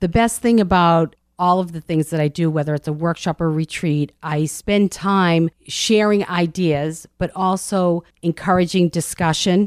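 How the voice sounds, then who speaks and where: This is a woman with an American accent and a normal speaking voice, fairly low in pitch. She talks fairly slowly with fairly even intonation, in a dry, close sound with no echo on a very clean recording with a silent background. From Medford, Massachusetts. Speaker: intuitive coach and author. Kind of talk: casual interview.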